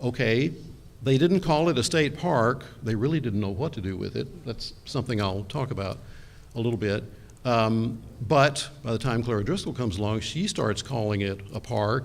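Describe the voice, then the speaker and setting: A man with an American accent speaks at medium pitch and a moderate pace. His pitch varies normally, and audible room echo surrounds the voice. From Texas. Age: 60s. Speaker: architectural historian. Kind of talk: conference talk. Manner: hesitant, many fillers.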